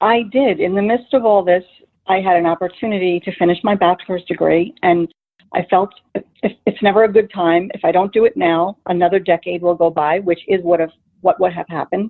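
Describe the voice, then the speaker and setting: A woman with a slight New Jersey accent speaks fairly quickly at a medium pitch, her intonation fairly even. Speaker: paralegal. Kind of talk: interview.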